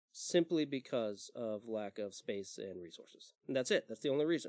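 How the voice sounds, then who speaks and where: A man with an unremarkable speaking voice talks at a moderate pace with ordinary pitch variation, the sound dry and close with no echo. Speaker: sound engineer. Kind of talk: casual chat. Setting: studio.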